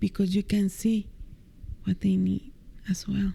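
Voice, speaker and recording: A woman speaks in a soft-spoken way. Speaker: meditation teacher. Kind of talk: interview answer. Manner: soft-spoken, light-hearted.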